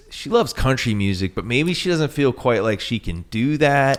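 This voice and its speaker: A man's ordinary speaking voice with ordinary pitch variation, in a very clean recording with a silent background. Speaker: podcast host, songwriter. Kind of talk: podcast interview questions.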